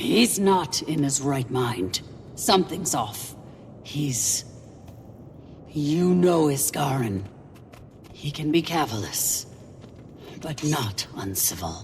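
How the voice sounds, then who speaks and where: Someone in a put-on character voice speaks at a low-to-middle pitch and a very slow pace, with long, frequent pauses. Clear background noise runs underneath. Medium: video game. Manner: concerned.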